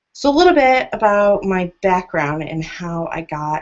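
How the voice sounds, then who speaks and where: A woman with an American accent has a normal speaking voice at a fairly low pitch. She talks at a fairly slow pace with lively intonation. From United States. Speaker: wedding marketing consultant. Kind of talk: webinar presentation. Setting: video call.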